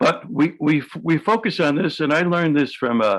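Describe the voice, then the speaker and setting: The speech comes in a New York accent at a moderate pace. Intonation is lively. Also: man. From New York City. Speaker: hypnotherapist. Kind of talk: interview. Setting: video call.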